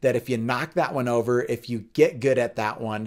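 Over a quiet background, a man talks at a moderate pace in a medium pitch with ordinary pitch variation. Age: 40s. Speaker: pastor and fitness instructor; pastor, fitness instructor. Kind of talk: faith and fitness talk.

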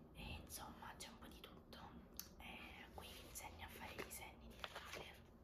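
A woman speaks in a whisper. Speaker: ASMR creator. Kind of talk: ASMR haul show and tell. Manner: whispered. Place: home room.

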